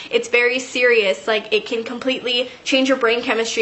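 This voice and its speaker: A woman speaks in a high voice. Noticeable background noise runs behind her. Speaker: YouTube vlogger. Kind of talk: storytime monologue. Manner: fast; casual, filler-heavy.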